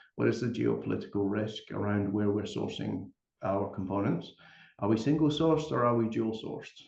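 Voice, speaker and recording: A man with a Scottish accent is speaking. He moves along at a fairly quick pace. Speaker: company executive. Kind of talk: panel discussion.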